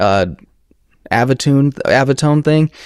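This man has a normal speaking voice at a medium pitch for a man. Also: dry, close sound with no echo. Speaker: audio reviewer, YouTuber. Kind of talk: casual chat. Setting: live stream. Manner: casual, laid-back.

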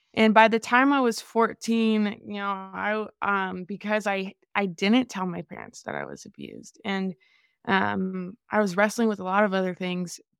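In a very clean recording with a silent background and a dry, close sound with no echo, a woman with an ordinary speaking voice and medium pitch talks at a moderate pace, her intonation fairly even but her loudness swinging widely. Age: 20s. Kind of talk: interview testimony.

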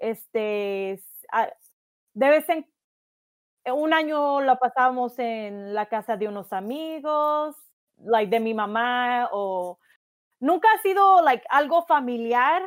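High-pitched, a woman speaks at a very slow pace with lively intonation. She leaves long, frequent pauses. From Jalisco, Mexico. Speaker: podcast co-host. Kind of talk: casual chat.

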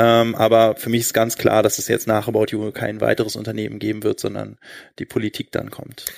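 A man with a fairly low pitch at a fairly quick pace, monotone with flat intonation, in a very clean recording with a silent background. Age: 30s. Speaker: e-commerce entrepreneur. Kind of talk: live stage interview. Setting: stage with audience.

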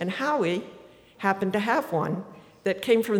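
This woman speaks with an American accent at a medium pitch and a moderate pace. Background noise is noticeable. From Martha's Vineyard, Massachusetts. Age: 80s+. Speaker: writer and former boat captain. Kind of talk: live storytelling. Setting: stage with audience.

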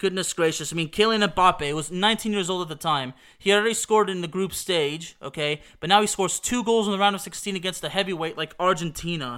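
On a very clean recording with a silent background, a man talks at a very fast pace with hardly any pauses, his high voice bright and sharp, with ordinary pitch variation. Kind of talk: retrospective soccer commentary, play-by-play style recap of a World Cup match. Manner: animated, excitable, building hype with rapid goal-by-goal scoreline calls.

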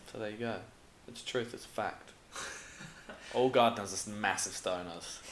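Over noticeable background noise, a man with a fairly low pitch speaks at a moderate pace with fairly even intonation, big swings in loudness and long, frequent pauses. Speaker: cafe owner and podcast host. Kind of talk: casual chat. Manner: swears casually.

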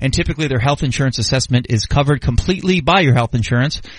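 A man speaks very fast at a fairly high pitch, with ordinary pitch variation. Noticeable background noise runs behind him. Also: very even loudness. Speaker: sports radio host. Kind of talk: radio dj patter, casual banter. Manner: animated, punchy, promo-style delivery, upbeat.

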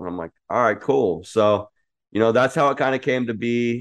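Over a quiet background, a man with an ordinary speaking voice talks at a medium pitch and moderate pace with fairly even intonation. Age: 30s. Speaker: cannabis entrepreneur. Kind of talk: interview.

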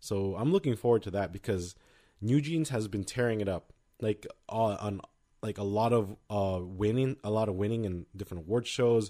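In a very clean recording with a silent background, a man speaks with a fairly low pitch and a dark, mellow tone. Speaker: K-pop podcast co-host. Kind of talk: casual chat. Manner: fast.

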